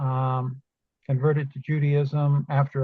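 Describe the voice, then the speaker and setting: A woman speaks with a very deep, low pitch and a somewhat breathy sound. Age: 70s. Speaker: class participant. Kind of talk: casual self-introduction. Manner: halting.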